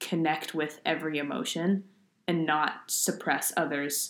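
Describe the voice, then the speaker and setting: At a fairly slow pace, a woman talks in a normal speaking voice, fairly low in pitch, with ordinary pitch variation. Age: 20s. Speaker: podcast co-host. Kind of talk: casual chat.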